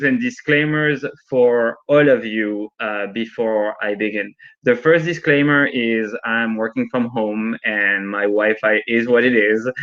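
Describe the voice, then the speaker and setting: A man's medium-pitched voice at a very slow pace. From France and Argentina. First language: French or Spanish. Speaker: product lead and instructor. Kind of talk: online workshop presentation. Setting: video call from home. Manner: animated.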